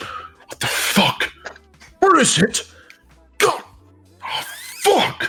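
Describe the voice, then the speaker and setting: Using a put-on character voice, a man speaks at a very slow pace with long, frequent pauses as faint music plays in the background. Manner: alarmed, cursing.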